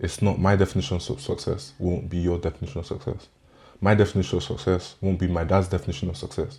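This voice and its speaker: A man with a very deep, low pitch talks at a very fast pace with ordinary pitch variation. His tone is dark and mellow, and somewhat breathy. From Nigeria. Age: 20s. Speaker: podcast guest, recent graduate. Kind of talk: interview conversation.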